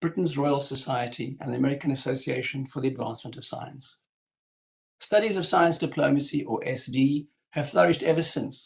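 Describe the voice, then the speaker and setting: A man speaks with a fairly high pitch and a fairly quick pace. His voice is somewhat breathy, with ordinary pitch variation. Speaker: history professor. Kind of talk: lecture. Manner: formal.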